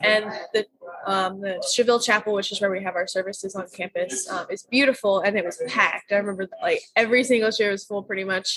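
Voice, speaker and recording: A woman with an American accent talks at a very fast pace. Her medium pitch carries fairly even intonation. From US Midwest, St. Louis. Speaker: university student. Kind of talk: casual interview. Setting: campus coffee shop.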